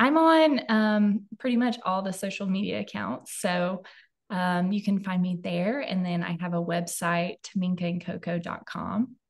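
Somewhat breathy, a woman talks at a fairly slow pace with ordinary pitch variation over a quiet background. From Alabama. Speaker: product developer and brand founder. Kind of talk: interview. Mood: friendly, calm. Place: home room. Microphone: video call.

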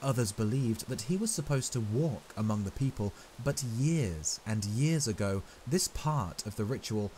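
Lively intonation in plain reading aloud

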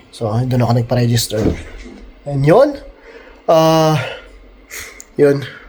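This man talks at a moderate speed with fairly even intonation while noticeable background noise carries on. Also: long, frequent pauses. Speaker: travel vlogger. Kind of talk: casual vlog chat. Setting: outdoors in snow.

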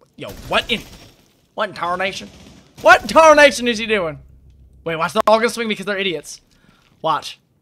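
The voice is raised and projected, with lively intonation at a fairly quick pace. Long pauses come often. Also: man, high pitch for a man. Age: 20s. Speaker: gaming streamer. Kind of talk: live gameplay commentary. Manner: animated.

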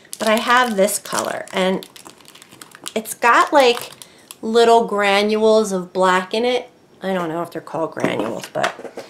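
A woman speaks at a fairly slow pace with ordinary pitch variation against noticeable background noise. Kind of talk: tutorial.

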